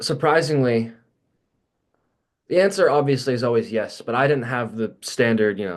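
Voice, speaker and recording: A man with an American accent speaks at a medium pitch and a moderate pace, with lively intonation. He takes long, frequent pauses. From Baltimore, Maryland (US Mid-Atlantic), teen years in Pittsburgh. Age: 20s. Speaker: university student and military trainee. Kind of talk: casual interview.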